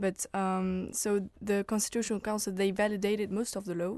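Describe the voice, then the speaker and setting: The speaker has a French accent and a monotone, flat intonation. The pace is moderate, and the background is quiet. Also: woman. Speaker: political science student. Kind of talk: radio panel discussion.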